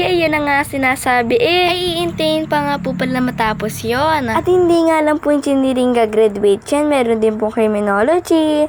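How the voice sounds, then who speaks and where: A woman's high voice at a moderate pace, with very wide pitch swings, very even loudness and hardly any pauses, over music in the background. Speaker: vlogger. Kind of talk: vlog narration. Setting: graduation venue.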